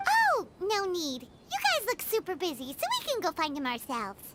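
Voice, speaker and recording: Over loud background noise, a put-on character voice with an extremely high pitch speaks at a moderate pace. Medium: video game.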